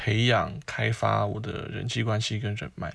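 A man speaking at a very slow pace. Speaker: podcast host. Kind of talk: casual monologue.

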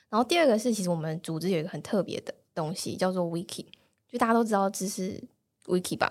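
The woman talks at a very fast pace. Her medium pitch shows ordinary variation. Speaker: data analyst. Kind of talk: casual interview chat.

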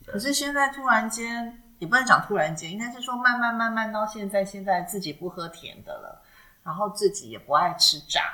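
At a moderate pace, a woman with an unremarkable speaking voice talks at a fairly high pitch, with lively intonation and big swings in loudness. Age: 40s. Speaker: podcast co-host. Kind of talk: casual chat.

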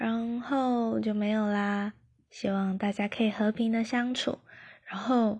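The voice is somewhat breathy and monotone, with flat intonation. It moves at a very slow pace. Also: woman, fairly high pitch for a woman. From Taiwan. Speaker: podcaster. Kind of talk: casual self-introduction monologue. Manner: halting, many fillers.

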